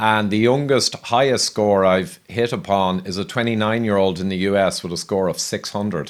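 Speaking with hardly any pauses at a fairly quick pace, a man with an ordinary speaking voice uses a fairly low pitch and ordinary pitch variation on a very clean recording with a silent background. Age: 50s. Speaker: health podcast host. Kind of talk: interview conversation.

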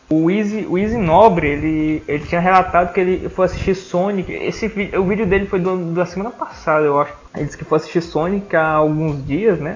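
Over noticeable background noise, a man with a high pitch speaks at a fairly quick pace with fairly even intonation. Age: 20s. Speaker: podcast host. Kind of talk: casual chat. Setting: at home.

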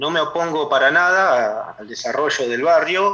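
Speaking in a Rioplatense accent, a man uses ordinary pitch variation. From Argentina, La Plata area. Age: 30s. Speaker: neighborhood activist. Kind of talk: radio interview. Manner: halting.

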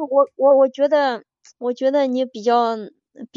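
A moderate pace marks this clip. The voice belongs to a woman. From China, Henan. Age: 30s. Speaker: caller to a relationship advice show. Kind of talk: call-in chat. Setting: live-stream call-in.

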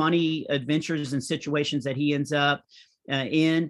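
With an American accent, a man speaks at a moderate pace in a fairly high pitch and monotone, flat intonation, over a quiet background. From small-town US. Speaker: comedian. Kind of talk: interview.

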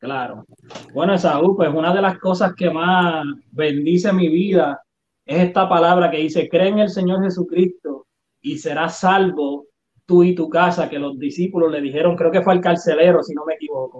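This man has a high pitch. His intonation stays fairly even. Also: moderate pace. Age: 30s. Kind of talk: interview testimony.

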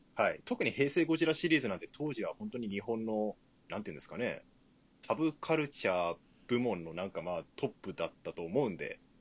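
Here a man talks at a fairly quick pace and medium pitch. His pitch swings very widely, and his loudness rises and falls sharply. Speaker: podcast co-host. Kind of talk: casual chat. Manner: animated.

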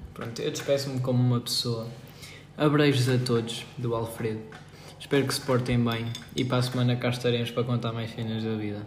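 Amid noticeable background noise and audible room echo, a man talks at a fairly quick pace in a monotone, flat intonation at medium pitch. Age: 20s. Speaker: podcast co-host. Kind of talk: casual chat.

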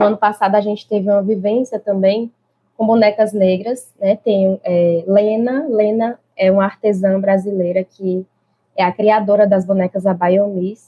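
A woman's somewhat breathy voice, monotone and flat, at a fairly slow pace. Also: medium pitch for a woman. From Brazilian Northeast. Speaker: early childhood teacher. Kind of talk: interview conversation.

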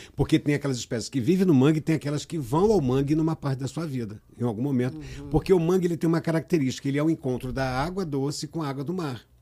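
Talking at a very fast pace with hardly any pauses, a man with a fairly high pitch and a dark, mellow tone uses ordinary pitch variation. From Rio de Janeiro state, Brazil (Cabo Frio, raised in Niterói). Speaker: environmental NGO president. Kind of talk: casual interview.

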